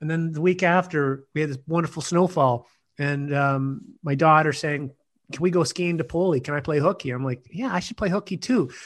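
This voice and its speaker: A man talks fairly quickly at a fairly high pitch, which varies in an ordinary way. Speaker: executive coach. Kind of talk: casual chat. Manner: halting, many fillers.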